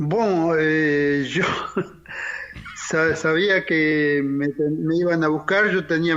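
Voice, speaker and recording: A man speaks at a very slow pace, his pitch fairly high. Noticeable background noise runs underneath. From Argentina (Chilecito, La Rioja; born in Paraguay). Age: 70s. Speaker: torture survivor, former political prisoner. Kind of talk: testimony. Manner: halting.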